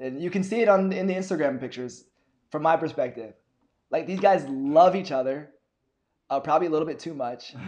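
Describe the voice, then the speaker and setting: A man's fairly high voice at a fairly quick pace, with ordinary pitch variation and long, frequent pauses. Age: 20s. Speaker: podcast host. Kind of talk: casual interview.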